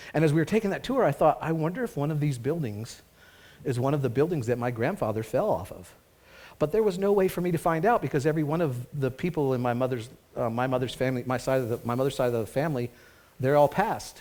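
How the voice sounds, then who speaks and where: A man races along at a very fast pace. His pitch is fairly high and his intonation lively. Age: 60s. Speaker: pastor. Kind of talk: sermon. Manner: conversational.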